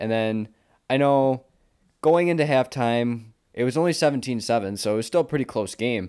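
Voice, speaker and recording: At a moderate pace, a man talks in a plain, everyday voice, medium in pitch with ordinary pitch variation. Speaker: co-host fan. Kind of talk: casual sports chat.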